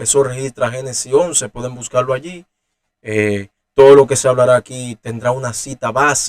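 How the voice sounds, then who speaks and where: The sound is dry and close, without echo. A man talks in a medium pitch at moderate speed. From Dominican Republic. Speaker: Bible teacher. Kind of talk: teaching talk. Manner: halting, many fillers and restarts.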